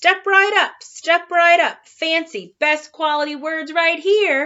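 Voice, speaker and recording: A woman speaks in a put-on character voice at an extremely high pitch. Her pace is fairly slow. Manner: hawking, cheerful, showy.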